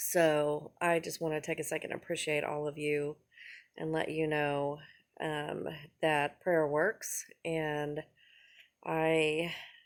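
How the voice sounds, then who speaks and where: A woman speaks at a very slow pace in a very deep, low pitch. Her intonation is monotone and flat, on a very clean recording with a silent background. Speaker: vlogger. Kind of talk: personal testimony vlog. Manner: halting, many fillers.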